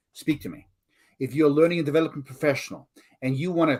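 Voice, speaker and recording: A man talks with a South African accent. The recording is very clean and the background silent. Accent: South African accent, noticeable. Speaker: learning consultant and author. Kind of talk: podcast interview.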